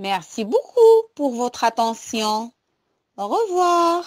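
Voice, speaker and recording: On a very clean recording with a silent background, a woman speaks at a very slow pace. Her soothing, gentle tone moves through very wide pitch swings. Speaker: storyteller for children. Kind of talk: bedtime story telling. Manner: slow, gentle, warm; soft, soothing.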